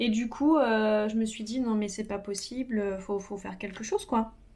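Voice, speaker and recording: A woman talks at a very slow pace with a fairly high pitch, on a very clean recording with a silent background. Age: 30s. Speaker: makeup artist, beauty youtuber. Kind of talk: casual tutorial talk while doing own makeup. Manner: hesitant, many fillers (euh).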